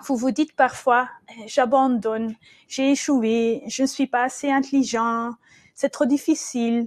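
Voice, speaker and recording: A woman speaks at a high pitch and a very slow pace, her intonation fairly even, in a dry, close recording with no echo. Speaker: trainer and business coach. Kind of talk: webinar presentation. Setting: webcast. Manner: halting, many hesitations.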